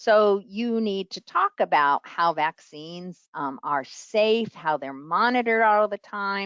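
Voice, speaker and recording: In a New York accent, a woman speaks at a fairly slow pace with very wide pitch swings. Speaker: public health professor. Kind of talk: lecture.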